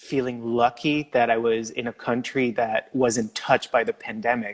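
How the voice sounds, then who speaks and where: In a very clean recording with a silent background, a man with a Quebec accent speaks at a medium pitch in a monotone, flat intonation, the sound dry and close with no echo. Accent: French Canadian accent in English. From Quebec, Canada. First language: French. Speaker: former Olympic figure skater. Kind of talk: casual interview chat.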